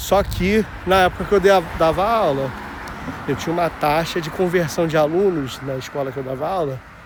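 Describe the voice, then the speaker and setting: Noticeable background noise accompanies a man with a fairly high pitch. He talks at a moderate pace with ordinary pitch variation. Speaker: vlogger. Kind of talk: casual walking vlog. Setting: outdoors, walking. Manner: casual, slangy.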